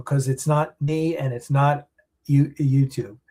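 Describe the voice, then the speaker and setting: A man speaks with a dark, mellow tone at a fairly high pitch. His voice is somewhat breathy. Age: 60s. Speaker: independent film producer. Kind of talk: live stream chat answering viewer comments. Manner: halting, many fillers.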